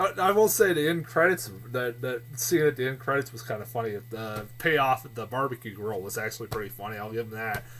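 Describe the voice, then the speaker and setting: The speaker moves at a fairly quick pace with ordinary pitch variation. The loudness swings widely from moment to moment. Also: man. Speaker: movie reviewer. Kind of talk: casual vlog review. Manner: halting, many fillers and repeats.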